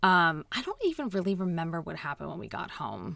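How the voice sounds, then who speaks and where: Very clean and set against a silent background, this recording has a woman speaking at a medium pitch and a moderate pace. She has a plain, everyday voice. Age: 30s. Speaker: podcast host. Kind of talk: casual chat.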